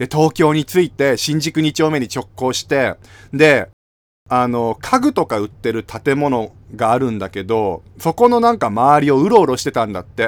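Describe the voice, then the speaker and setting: A man's pitch swings very widely, captured on a very clean recording against a silent background. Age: 30s. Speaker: podcast host and YouTuber. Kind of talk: casual solo talk. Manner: animated.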